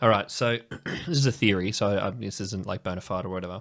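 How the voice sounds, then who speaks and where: With an Australian accent, a man speaks at a fairly quick pace and fairly low pitch, with ordinary pitch variation and long, frequent pauses. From Australia, North Shore of Sydney. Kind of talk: casual chat. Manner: animated.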